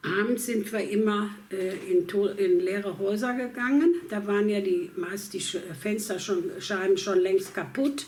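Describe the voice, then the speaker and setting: A medium-pitched woman's voice at a very slow pace, with hardly any pauses and ordinary pitch variation. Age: 80s+. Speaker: war refugee. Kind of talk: interview answer. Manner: hesitant, with many fillers.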